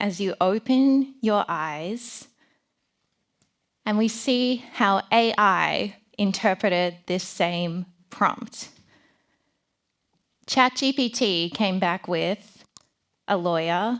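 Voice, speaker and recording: On a very clean recording with a silent background, a woman of medium pitch speaks at a very slow pace in an Australian accent, with lively intonation and long, frequent pauses. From Melbourne, Australia. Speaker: design founder and conference speaker. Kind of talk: conference talk.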